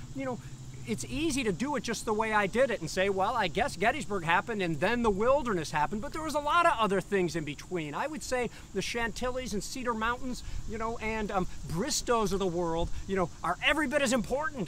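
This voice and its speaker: There is light background noise as a man speaks at a fairly quick pace, with a dry sound and no echo. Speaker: historian guide. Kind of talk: lecture. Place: open country. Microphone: lapel.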